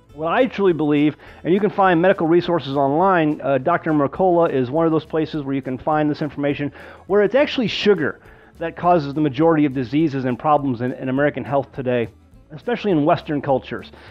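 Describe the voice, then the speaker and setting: Faint music plays in the background. A man speaks at a very fast pace with ordinary pitch variation. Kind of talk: tutorial. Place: kitchen.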